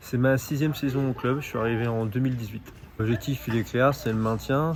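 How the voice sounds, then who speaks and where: Noticeable background noise behind fairly even intonation. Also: man. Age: 30s. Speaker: table tennis coach and team manager. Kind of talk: interview.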